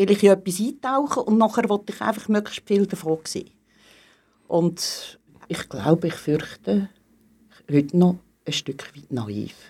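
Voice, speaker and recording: On a very clean recording with a silent background, a woman with a dark, mellow tone speaks at a medium pitch and a fairly slow pace. Her intonation is lively, her loudness swings widely, and she takes long, frequent pauses. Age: 60s. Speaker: teacher. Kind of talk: casual interview.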